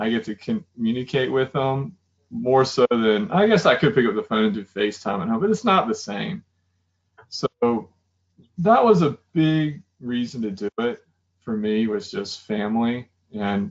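Against a quiet background, the voice moves at a moderate pace with very wide pitch swings. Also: man. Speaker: interview guest. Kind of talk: interview answer. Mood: reflective, personal. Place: home room. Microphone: video call.

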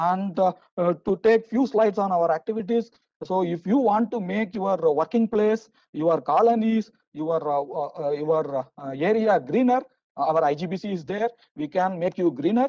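The tone is dark and mellow, with lively intonation at a fairly slow pace. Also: man, high pitch for a man. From India. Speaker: session moderator. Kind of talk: conference moderation and talk. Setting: online webinar. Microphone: video call.

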